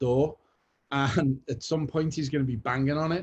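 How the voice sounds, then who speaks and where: In a Liverpool accent, a man with a fairly high, somewhat breathy voice talks with fairly even intonation. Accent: Liverpool (Scouse). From Liverpool, England. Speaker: creative director. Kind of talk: guest talk. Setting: video call from home.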